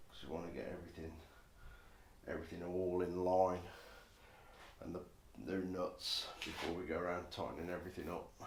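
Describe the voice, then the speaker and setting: In a room with audible echo, a man with a very deep, low voice mumbles at a fairly quick pace, somewhat breathy and monotone with flat intonation, leaving long, frequent pauses. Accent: English. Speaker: motorcycle builder. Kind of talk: workshop vlog. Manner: mumbling.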